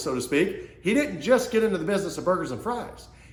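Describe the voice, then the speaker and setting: With an American accent, a man's voice swings very widely in pitch, with audible room echo and noticeable background noise. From Kansas City, US Midwest. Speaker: small business coach / entrepreneur. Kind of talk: motivational business talk to camera. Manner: fast; animated.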